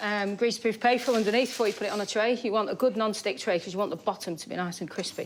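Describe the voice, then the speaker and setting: A woman with a northern English accent talks at a very fast pace. She leaves hardly any pauses, and her pitch varies in an ordinary way. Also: fairly high pitch for a woman. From northern England. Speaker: chef. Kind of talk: cooking demonstration.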